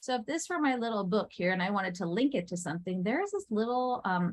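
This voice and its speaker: Somewhat breathy, a woman talks at a fairly quick pace in a medium pitch. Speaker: teacher trainer. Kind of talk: workshop presentation. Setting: in-person session with live audience. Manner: fast.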